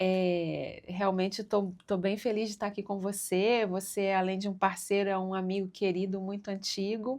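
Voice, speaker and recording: Speaking at a fairly slow pace and a medium pitch, a woman with a Minas Gerais accent is heard in a very clean recording with a silent background. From Minas Gerais, Brazil (Coronel Fabriciano, eastern Minas). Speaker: cultural project manager. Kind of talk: casual interview chat. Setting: studio.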